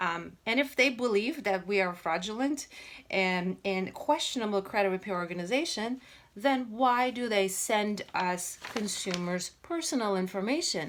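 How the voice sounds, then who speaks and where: The speaker has a non-native accent and lively intonation. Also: woman, medium pitch for a woman, moderate pace. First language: not English. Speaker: credit repair business owner. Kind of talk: informational commentary video. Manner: halting, many fillers.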